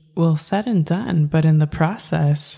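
A woman's very deep, low voice, dark and mellow in tone, somewhat breathy, with ordinary pitch variation. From US, Mexican-American family. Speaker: nurse and podcast host. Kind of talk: solo monologue podcast.

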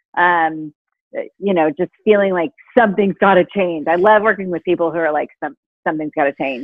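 In an ordinary speaking voice, a woman talks with ordinary pitch variation. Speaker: author and happiness expert. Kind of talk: interview conversation.

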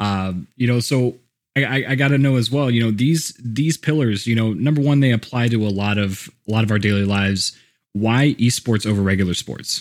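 A man's ordinary speaking voice with an American accent, medium pitch, ordinary pitch variation, and a moderate pace, on a very clean recording with a silent background. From Texas (Houston). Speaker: podcast host. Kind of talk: interview.

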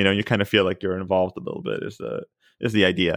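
This man has a very deep, low pitch. He talks at a very fast pace with fairly even intonation. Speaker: podcast host. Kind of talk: casual chat. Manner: loud.

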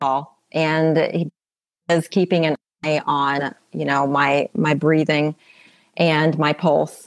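A woman talks at a very slow pace with a very deep, low pitch, leaving long, frequent pauses. The sound is dry and close, with no echo. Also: quiet background. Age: 50s. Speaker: podcast guest sharing ketamine therapy story. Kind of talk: personal testimony interview.

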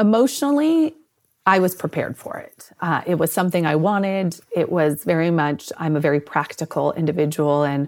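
An unremarkable speaking voice from a woman, fairly low in pitch, at a moderate pace, on a very clean recording with a silent background. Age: 40s. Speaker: sports medicine clinician. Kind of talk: interview about personal experience.

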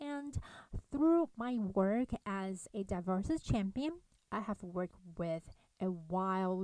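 On a very clean recording with a silent background and a dry, close sound with no echo, a woman with a non-native accent speaks at a medium pitch with very wide pitch swings. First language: not English. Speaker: podcast host for conductors. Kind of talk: solo podcast monologue. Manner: hesitant, with fillers.

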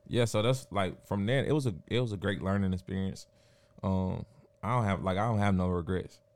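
A man's fairly low voice, a normal speaking voice, at a fairly quick pace with ordinary pitch variation and very even loudness, in a very clean recording with a silent background. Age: 30s. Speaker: DJ, producer and entrepreneur. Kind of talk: casual chat.

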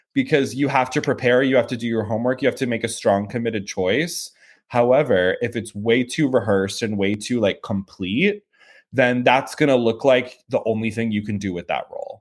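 A man with an American accent talks at a fairly quick pace in a normal speaking voice. The recording is very clean, with a silent background. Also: medium pitch for a man, ordinary pitch variation. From US Midwest, St. Louis, Missouri. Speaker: talent agent. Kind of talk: interview.

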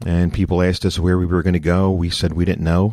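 In a very clean recording with a silent background, a man with a Philadelphia accent and a very deep, low voice speaks at a fairly quick pace. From US Northeast, Philadelphia. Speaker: pastor. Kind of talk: interview conversation.

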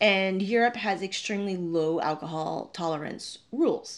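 A woman with a North American accent speaks fairly slowly with lively intonation in a plain, everyday voice, in a very clean recording with a silent background. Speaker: travel vlogger and podcaster. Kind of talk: solo storytelling podcast. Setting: Airbnb room, video podcast.

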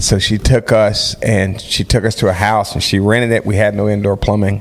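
A man speaks with a fairly low pitch. Noticeable background noise is present. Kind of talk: casual podcast chat.

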